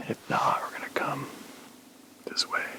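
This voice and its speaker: A man whispers at a moderate pace. Noticeable background noise can be heard. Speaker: bowhunter. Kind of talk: field vlog narration. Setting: outdoors. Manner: soft-spoken.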